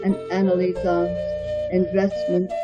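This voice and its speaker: Music in the background behind a speaking woman. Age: old. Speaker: poet. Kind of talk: poetry reading.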